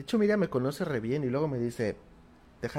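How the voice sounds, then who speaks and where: A man's dark, mellow voice with a Mexican accent, lively intonation and a moderate pace. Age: 30s. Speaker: motivational speaker and livestream host. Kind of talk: live-streamed morning talk with card reading. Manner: warm, informal.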